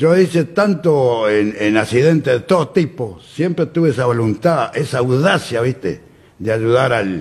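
Here a man's voice is somewhat breathy. His intonation is lively. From Uruguay, Durazno. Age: 80s+. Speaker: flood-zone resident. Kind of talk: interview. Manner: halting. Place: studio. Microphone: studio mic.

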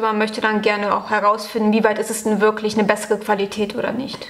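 A woman speaks with a fairly high pitch. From western Germany. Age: 20s. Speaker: university student. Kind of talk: casual interview. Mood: calm, friendly. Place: classroom.

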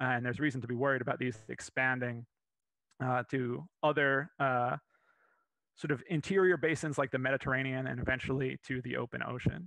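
Over a quiet background, a man with an American accent and medium pitch speaks at a fairly quick pace with fairly even intonation, in a dry sound with no echo. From Florida. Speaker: paleontologist, museum curator. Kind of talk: lecture. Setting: live virtual presentation. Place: home room. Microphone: headset.

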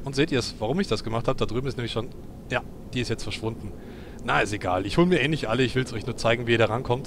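A man's medium-pitched voice, very fast, with ordinary pitch variation. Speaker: gaming let's player. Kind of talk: gameplay commentary. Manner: halting.

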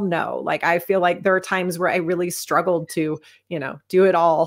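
Over a quiet background, a woman talks at a moderate speed. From United States. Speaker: retired fighter pilot and author. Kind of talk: interview. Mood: reflective, sincere. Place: home room.

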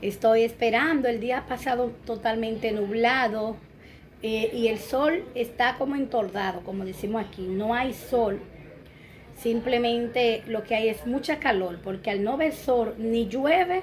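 Fairly slow speech with ordinary pitch variation over light background noise. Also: woman. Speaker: home vlogger. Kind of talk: casual vlog chat. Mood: warm, relaxed. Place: home room. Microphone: phone near.

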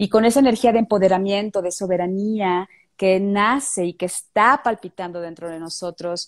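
At a moderate pace, a woman talks with big swings in loudness over a quiet background. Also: ordinary pitch variation. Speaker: tantra therapist; tantra guest teacher. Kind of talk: guided meditation; interview. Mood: calm, soft, meditative. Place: home room. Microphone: handheld.

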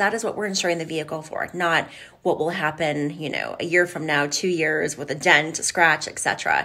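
The speech has ordinary pitch variation and hardly any pauses. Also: woman. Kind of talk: informational vlog talk to viewers. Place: office. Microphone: phone near.

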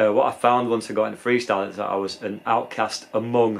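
A man with a British accent talks in a fairly low pitch. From UK. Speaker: skateboarder and video creator. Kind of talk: casual vlog monologue. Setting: outdoors at skate park. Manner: casual, filler-heavy. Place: home room.

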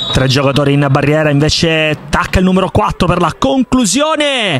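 Using very wide pitch swings, a man talks at a fairly quick pace. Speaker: football match commentator. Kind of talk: live sports commentary. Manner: urgent, clipped calls that build up at chances.

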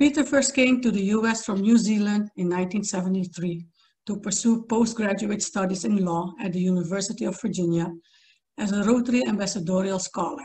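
At a moderate pace, the somewhat breathy voice has a dark, mellow tone and ordinary pitch variation. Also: woman. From Suriname. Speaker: event committee member. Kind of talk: speaker introduction. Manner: formal. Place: home room. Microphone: video call.

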